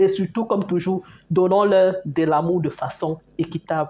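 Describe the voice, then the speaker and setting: A woman's somewhat breathy voice sits at a medium pitch with a dark, mellow tone. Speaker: parenting vlogger. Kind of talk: casual talk to camera. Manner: fast.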